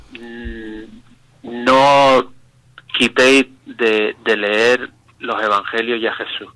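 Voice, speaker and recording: A very slow, monotone delivery with flat intonation, a bright, sharp tone and long, frequent pauses. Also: man, medium pitch for a man. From Canary Islands, Spain. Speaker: pastor. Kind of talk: radio interview testimony.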